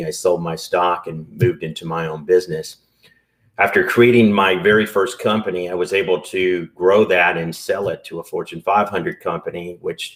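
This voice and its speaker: In a Southern US accent, a man talks at a fairly quick pace. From US South. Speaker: entrepreneur and business broker. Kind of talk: podcast interview.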